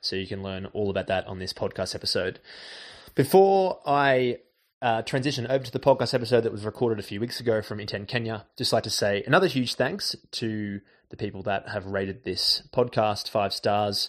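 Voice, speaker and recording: Against a quiet background, a man with a plain, everyday voice speaks at a fairly quick pace, his medium pitch showing ordinary variation. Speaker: podcast host. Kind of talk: interview; scripted narration. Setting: restaurant, recorded live.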